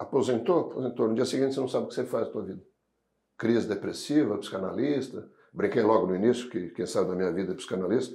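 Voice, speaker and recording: At a very fast pace, a man with a dark, mellow tone speaks at medium pitch with ordinary pitch variation. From southern Brazil (Rio Grande do Sul, Pelotas). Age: 60s. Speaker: logistics association executive. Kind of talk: podcast interview.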